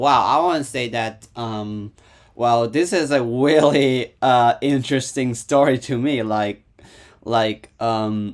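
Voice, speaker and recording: A man's medium-pitched voice with a Hong Kong accent, fairly even intonation and a fairly slow pace. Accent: Hong Kong Cantonese-accented English. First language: Cantonese. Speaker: YouTube reactor. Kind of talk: casual reaction commentary. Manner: halting, many fillers and repetitions.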